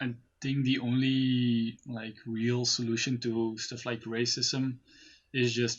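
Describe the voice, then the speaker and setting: A man speaks at medium pitch with monotone, flat intonation. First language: Dutch (Flemish). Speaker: friend and podcast guest. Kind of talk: casual chat. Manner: halting.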